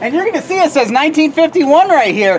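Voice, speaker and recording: A woman talks at a very fast pace, loud and animated, her pitch swinging very widely. Noticeable background noise runs behind her. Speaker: tour guide. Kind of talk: guided tour talk.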